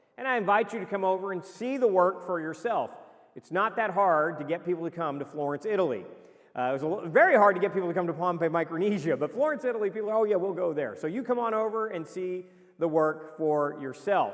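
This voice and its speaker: Over noticeable background noise, a man speaks loud and very fast in a high voice. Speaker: missionary preacher. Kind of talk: mission report presentation.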